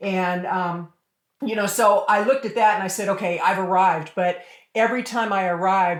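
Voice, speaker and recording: Here is a woman with a medium pitch. It is an unremarkable speaking voice. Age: 60s. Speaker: author and business strategist. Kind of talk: interview. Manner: conversational with many fillers.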